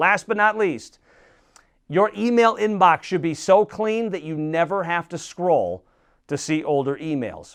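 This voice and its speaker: A man speaks in an animated tone, his pitch swinging very widely. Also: quiet background. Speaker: motivational speaker. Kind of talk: tips talk to camera. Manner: fast.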